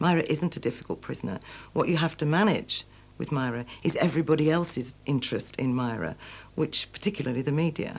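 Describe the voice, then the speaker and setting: A woman's very deep, low voice with vocal fry and a strong Manchester accent, fairly quick, with ordinary pitch variation, in a very clean recording with a silent background. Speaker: former prison governor. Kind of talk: documentary interview.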